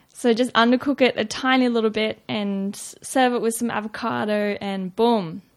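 A woman with an Australian accent, fairly high-pitched, with fairly even intonation and hardly any pauses. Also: moderate pace. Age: 20s. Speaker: nutrition student. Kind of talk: casual interview.

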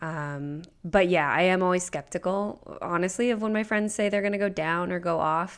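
At a moderate pace and with hardly any pauses, a woman with an American accent speaks in an unremarkable speaking voice, medium in pitch with ordinary pitch variation, on a very clean recording with a silent background. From Nebraska, US Midwest. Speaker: podcast producer. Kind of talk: casual chat.

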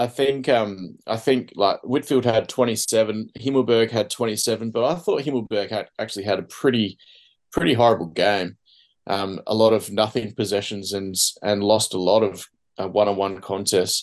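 Fairly low in pitch, a man with an Australian accent speaks at a moderate pace with ordinary pitch variation. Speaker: podcast host. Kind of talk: casual chat. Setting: video call.

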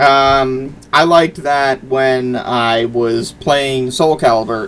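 A medium-pitched man's voice over noticeable background noise. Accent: American. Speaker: video game podcast co-host. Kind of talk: casual chat. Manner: halting, many fillers and restarts.

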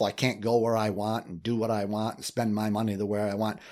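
On a very clean recording with a silent background, a man of fairly low pitch speaks at a very fast pace in a monotone, flat way. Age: 60s. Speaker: relationship coach and author. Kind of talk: interview. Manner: repetitive stammering.

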